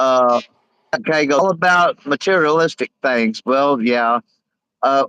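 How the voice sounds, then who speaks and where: A man with a Southern US accent and a fairly high pitch speaks very slowly in a bright, sharp tone, taking long, frequent pauses, with a dry, close sound and no echo. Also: ordinary pitch variation. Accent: Southern twang. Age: 50s. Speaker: live streamer. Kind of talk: casual chat. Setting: livestream. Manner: halting.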